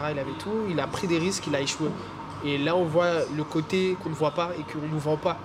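Over noticeable background noise, a man with a fairly high voice talks at a fairly quick pace in a fairly even intonation. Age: 20s. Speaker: photographer and filmmaker. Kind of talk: casual chat.

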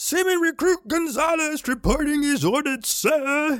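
A man puts on a character voice pitched extremely high, speaking at a moderate pace. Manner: formal, military.

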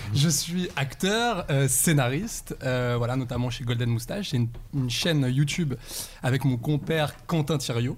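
A man with a medium pitch and ordinary pitch variation speaks at a fairly slow pace in a somewhat breathy voice. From Saint-Étienne, France. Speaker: actor and screenwriter. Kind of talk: casual chat.

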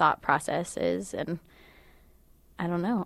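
A woman with an unremarkable speaking voice talks at a moderate pace and a fairly low pitch. The recording is very clean, with a silent background. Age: 20s. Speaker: college student. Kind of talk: interview.

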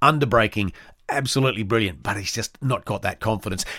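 Speaking at a very fast pace in an Australian accent, a man has a medium pitch, a bright, sharp tone and ordinary pitch variation on a very clean recording with a silent background. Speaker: motorsport podcast host. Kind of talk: solo podcast commentary. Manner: halting, many fillers.

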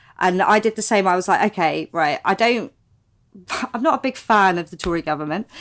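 A woman's unremarkable speaking voice at a medium pitch, fairly quick and with lively intonation, on a very clean recording with a silent background. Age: 30s. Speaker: comedian. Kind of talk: casual chat.

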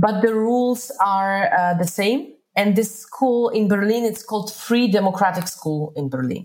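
Using a Polish accent, a woman at medium pitch talks at a fairly slow pace with lively intonation and hardly any pauses. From Poland. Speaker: entrepreneur. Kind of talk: interview.

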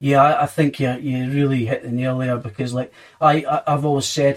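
A man with a Scottish accent. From Scotland. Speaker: podcast host, hospitality worker. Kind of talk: casual interview chat.

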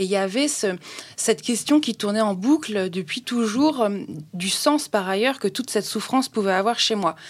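A woman's normal speaking voice, medium pitch, lively intonation, moderate pace. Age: 30s. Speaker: festival founder, association president. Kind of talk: casual interview.

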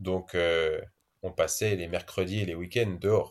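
The voice belongs to a man. Everything is very cleanly recorded, and the background is silent. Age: 30s. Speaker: adventurer, explorer. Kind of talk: interview, casual storytelling. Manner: hesitant, repeats words.

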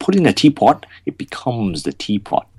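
A man's dark, mellow voice at a fairly quick pace, with vocal fry, very wide pitch swings and a dry, close sound with no echo. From northern England (Bolton). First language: Gujarati. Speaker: artist. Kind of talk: interview.

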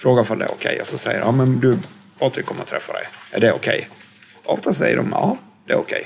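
Very rapid male speech against noticeable background noise. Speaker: former criminal, social worker. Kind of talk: interview. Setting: hotel room.

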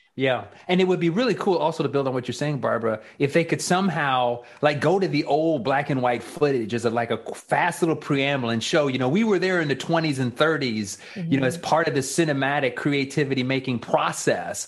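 Over noticeable background noise, a man speaks at a fairly quick pace with hardly any pauses. His pitch is fairly high, with ordinary variation. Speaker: radio host.

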